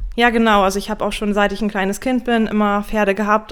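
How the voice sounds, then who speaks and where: A woman's medium-pitched, monotone, flat delivery at a very fast pace, on a very clean recording with a silent background. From northern Germany (Emsland). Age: 30s. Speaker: equine nutrition consultant. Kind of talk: podcast interview.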